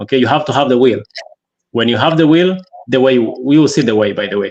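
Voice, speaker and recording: Very rapid speech from a man, medium in pitch, with ordinary pitch variation. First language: African local dialect; French is second language, not English. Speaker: entrepreneur guest. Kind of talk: interview. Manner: halting, many repetitions and fillers.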